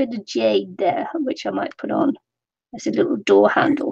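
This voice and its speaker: A woman speaks at a moderate pace. She has a British accent. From Britain. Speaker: crafter. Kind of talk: craft tutorial livestream.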